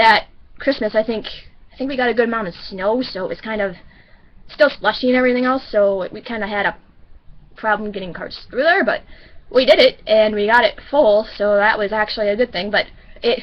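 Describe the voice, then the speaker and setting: Her pitch fairly high, a woman speaks at a fairly quick pace with ordinary pitch variation and long, frequent pauses. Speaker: vlogger. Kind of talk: casual vlog storytelling. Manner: fast; halting, many restarts.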